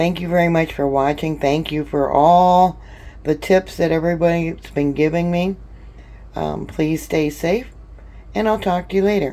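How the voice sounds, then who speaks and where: With a dark, mellow tone and fairly low pitch, a woman talks at a moderate pace, keeping fairly even intonation and taking long, frequent pauses. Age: 60s. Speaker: home canning vlogger. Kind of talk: casual tutorial. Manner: chatty, with many fillers.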